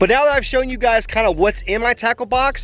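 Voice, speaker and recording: A man is speaking. His voice is loud. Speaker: fishing YouTuber. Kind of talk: casual vlog narration while fishing; tutorial. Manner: animated.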